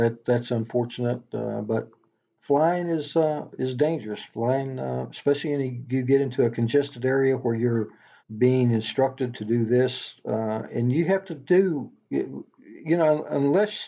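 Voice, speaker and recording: A man with a Tennessee accent, medium in pitch, with a dark, mellow tone, ordinary pitch variation and a fairly slow pace over a quiet background. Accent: Tennessee drawl. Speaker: knife maker, former police officer and helicopter pilot. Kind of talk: podcast interview answer.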